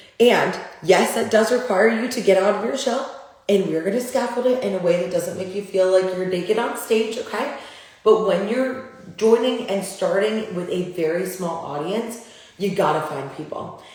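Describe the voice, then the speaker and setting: Noticeable background noise and audible room echo surround a woman's voice. She speaks at medium pitch and moderate pace with ordinary pitch variation. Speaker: business coach. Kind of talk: live Q&A.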